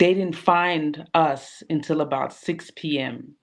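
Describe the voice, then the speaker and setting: A woman speaks in a New York accent. Her pitch is very deep and low. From New York, Brooklyn and Queens. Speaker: women's group founder. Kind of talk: interview. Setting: online livestream.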